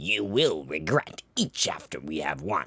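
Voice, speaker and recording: A man's growling put-on character voice, very deep and low in pitch, at a fairly slow pace. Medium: read story. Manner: impatient, forceful.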